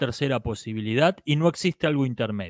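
The sound is dry with no echo and a quiet background as a man talks at a moderate pace. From Argentina. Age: 40s. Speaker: YouTube commentator on philosophy and politics; YouTube commentator on philosophy. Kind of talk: monologue answering viewer comments. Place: home room. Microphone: handheld.

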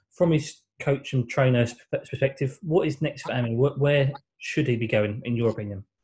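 Somewhat breathy speech at a moderate pace with ordinary pitch variation. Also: man, medium pitch for a man. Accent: English. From England. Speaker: boxing interviewer. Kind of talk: interview. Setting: video call.

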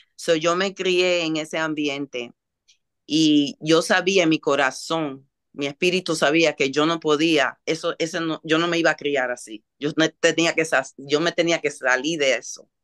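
A woman's very deep, low voice at a fairly slow pace against a quiet background. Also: fairly even intonation. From Dominican, raised in Washington Heights, New York; New York. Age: 60s. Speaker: holistic healing center owner; talk show guest. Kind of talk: interview. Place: home room. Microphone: video call.

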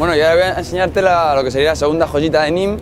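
Over noticeable background noise, a man with a Madrid accent speaks at a fairly quick pace with fairly even intonation, the sound dry with no echo. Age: 30s. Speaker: physiotherapist living abroad; local guide. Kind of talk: casual interview. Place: street.

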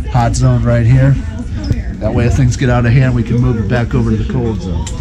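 Loud music plays behind a man speaking at a fairly quick pace. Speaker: vlog host. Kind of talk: casual vlog chat. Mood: relaxed, jokey. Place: garage. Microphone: phone near.

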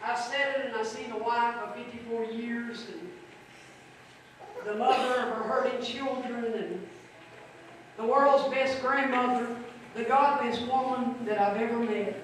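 Speech at a very slow pace with ordinary pitch variation carries strong room echo and light background noise. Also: woman, high pitch for a woman. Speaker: pastor. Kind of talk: funeral sermon. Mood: solemn, emotional eulogy. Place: church.

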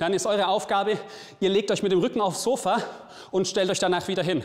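A man speaks fairly quickly. Music can be heard behind him. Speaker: fitness trainer. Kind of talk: workout instruction. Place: gym. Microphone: lapel.

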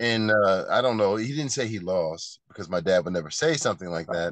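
Fairly low-pitched male voice with ordinary pitch variation, a dry sound with no echo and a quiet background. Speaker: martial arts teacher, guest. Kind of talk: interview answer. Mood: relaxed storytelling.

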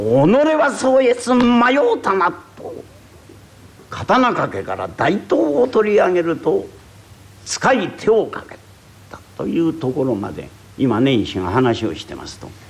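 A man talks at a very slow pace with big swings in loudness and long, frequent pauses. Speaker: rakugo storyteller. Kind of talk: traditional comic storytelling performance.

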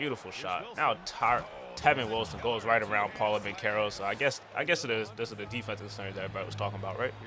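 At a very fast pace, a man with a fairly low pitch speaks in an animated tone with ordinary pitch variation. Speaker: gaming YouTuber. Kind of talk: casual sports play-by-play commentary over video game footage. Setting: solo recording, voiceover on gameplay. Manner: animated, fast play-by-play delivery; casual, hype, slangy.

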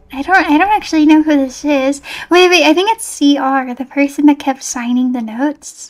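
Pitched high, a woman speaks with ordinary pitch variation at a moderate pace. Her background is quiet. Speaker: livestreamer playing horror games. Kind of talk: casual livestream gameplay chat. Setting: live stream with online chat. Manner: animated, excitable. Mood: nervous, relieved, soft. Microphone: studio mic.

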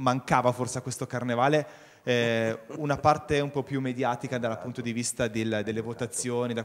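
Here a man has a normal speaking voice at a medium pitch. He keeps a moderate pace with ordinary pitch variation. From Vercelli, Piedmont, northern Italy; Piedmont, Italy. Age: young. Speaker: local carnival organizer; TV guest. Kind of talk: TV talk show interview. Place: studio. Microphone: handheld.

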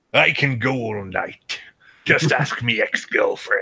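A man's raspy, put-on character voice at medium pitch, delivered at a fairly slow pace. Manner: swaggering, joking.

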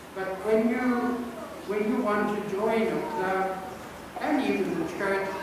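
Over noticeable background noise, a man talks with ordinary pitch variation. The recording has strong room echo. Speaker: preacher. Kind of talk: sermon. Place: church.

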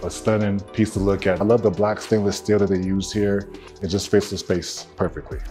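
A man with a fairly low pitch at a moderate pace, faint music in the background. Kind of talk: home tour commentary. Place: home room.

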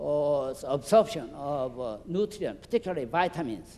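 A man with a Korean accent, a dark, mellow tone and lively intonation, at a fairly slow pace. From South Korea. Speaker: physician; guest lecturer. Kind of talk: lecture. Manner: halting. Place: hall. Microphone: handheld.

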